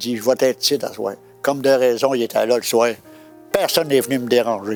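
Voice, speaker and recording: With music in the background, a man in a Quebec accent talks at a fairly quick pace and medium pitch. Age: 80s+. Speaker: evangelist. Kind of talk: interview answer, personal testimony.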